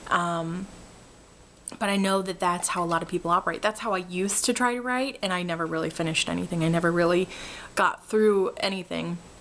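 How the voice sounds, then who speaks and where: Against noticeable background noise, a woman talks at a fairly quick pace. Her pitch is medium and her tone animated. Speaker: vlogger. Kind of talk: casual vlog update. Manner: loud, animated; hesitant fillers, um and uh.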